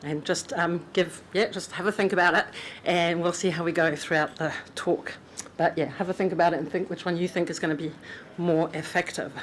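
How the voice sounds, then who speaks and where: A woman speaks with a fairly low pitch and monotone, flat intonation. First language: French. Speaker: conference speaker. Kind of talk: conference talk. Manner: hesitant, many ums.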